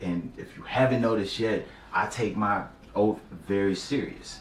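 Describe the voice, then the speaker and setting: Amid noticeable background noise and audible room echo, a man speaks at a fairly slow pace and fairly low pitch with ordinary pitch variation. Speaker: YouTuber vlogging a personal celibacy journey. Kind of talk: casual talk to camera. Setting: talking to camera. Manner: casual slangy.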